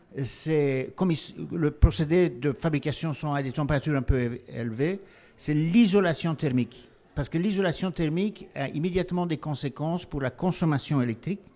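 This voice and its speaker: In a very clean recording with a silent background, a man with a fairly high pitch and a dark, mellow tone talks at a moderate pace with ordinary pitch variation. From Belgium. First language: not French (speaking French). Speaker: company founder and CEO. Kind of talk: panel discussion.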